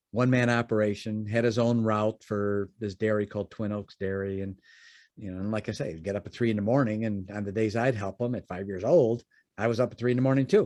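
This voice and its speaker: Against a quiet background, a man with an American accent speaks at a fairly low pitch with fairly even intonation. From Chicago suburbs, US Midwest. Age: 60s. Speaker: podcast guest, entrepreneur. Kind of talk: interview storytelling. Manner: halting, many fillers and repeats.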